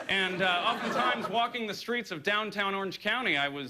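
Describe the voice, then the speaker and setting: A man talks at a fairly quick pace with lively intonation. Noticeable background noise sits behind him. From Southern California. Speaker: comedian. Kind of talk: stand-up. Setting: stage with audience. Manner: hesitant, with frequent uh fillers.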